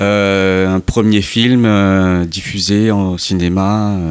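In a dry, close sound with no echo, a man speaks at a fairly low pitch with fairly even intonation. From Mauritius. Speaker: documentary filmmaker. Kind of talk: radio interview. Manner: halting.

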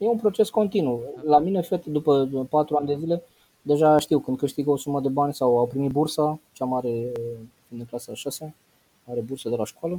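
Fairly high in pitch yet dark and mellow in tone, a man speaks at a fairly quick pace. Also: ordinary pitch variation. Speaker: financial education trainer. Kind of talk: interview.

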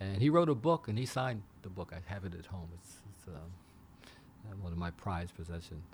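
Very deep, low, somewhat breathy male speech at a moderate pace, with hardly any pauses, big swings in loudness and ordinary pitch variation. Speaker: aviation accident investigator. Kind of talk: interview. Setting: studio.

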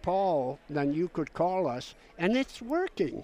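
Over a silent background in a very clean recording, a man speaks at a very slow pace. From Alaska, Pribilof Islands (Aleut). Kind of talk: radio interview.

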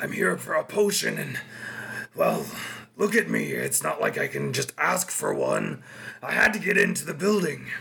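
A man speaks in a put-on character voice with a raspy edge. His pace is moderate. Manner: desperate, pleading.

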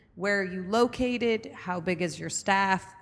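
A woman speaks at a medium pitch. Her pitch varies in an ordinary way, an ordinary speaking voice. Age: 40s. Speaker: podcast co-host and entrepreneur. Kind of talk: interview.

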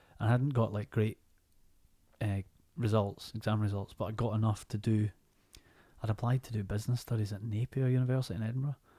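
A man with medium pitch speaks at a very fast pace yet leaves long, frequent pauses, his tone dark and mellow and somewhat breathy. His intonation stays fairly even, and the sound is dry and close with no echo. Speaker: actor. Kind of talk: casual chat.

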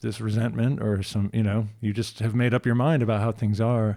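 In a normal speaking voice, a man of medium pitch speaks at a moderate pace with fairly even intonation. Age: 40s. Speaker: podcast host. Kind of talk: casual chat.

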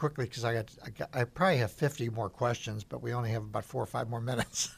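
A man with a medium pitch and a somewhat breathy voice talks at a very fast pace. The recording is very clean, with a silent background. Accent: American. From US Midwest, northern Illinois. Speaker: radio host and former executive. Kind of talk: radio interview. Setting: studio.

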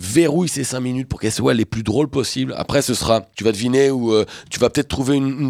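A man talks at a very fast pace with a medium pitch and ordinary pitch variation. The recording is very clean, with a silent background and a dry, close sound with no echo. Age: 40s. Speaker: comedian and columnist. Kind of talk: casual chat.

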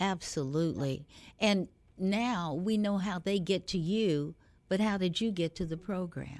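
A woman talks at a fairly slow pace in a plain, everyday voice of medium pitch with ordinary pitch variation. The recording is very clean, with a silent background. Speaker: radio host. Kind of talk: warm interview, host intro. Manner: warm, formal, inspirational.

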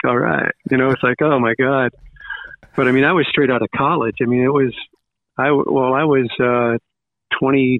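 A man talks with long, frequent pauses, very even loudness, and fairly even intonation. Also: medium pitch for a man, moderate pace. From Long Island, New York. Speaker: radio DJ. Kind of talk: casual interview chat.

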